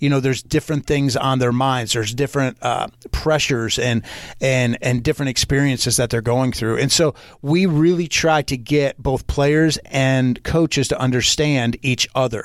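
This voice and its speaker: Here a man has an ordinary speaking voice at a medium pitch. He keeps a moderate pace and fairly even intonation. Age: 40s. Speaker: leadership coach and speaker. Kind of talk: casual interview.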